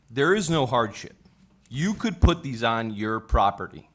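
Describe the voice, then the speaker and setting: A loud voice at a fairly slow pace with lively intonation, on a very clean recording with a silent background. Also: man. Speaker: zoning board member. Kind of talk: heated debate.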